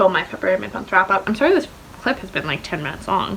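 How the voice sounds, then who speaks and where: A woman's voice over noticeable background noise. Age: 20s. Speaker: book vlogger. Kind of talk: casual vlog chat. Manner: fast.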